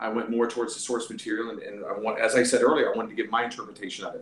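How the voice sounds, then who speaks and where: Audible room echo and noticeable background noise around an American accent. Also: man. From US South. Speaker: actor. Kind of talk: interview. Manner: animated.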